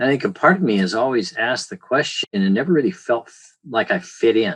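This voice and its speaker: A man with lively intonation. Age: 60s. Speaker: physician, dermatologist. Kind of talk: testimonial interview. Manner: halting, many fillers.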